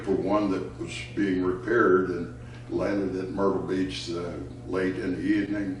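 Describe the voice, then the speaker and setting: A man speaks at a moderate pace in a very deep, low voice, with audible echo from the room. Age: 80s+. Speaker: retired fighter pilot, veteran. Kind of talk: personal storytelling interview. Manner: halting, with frequent fillers.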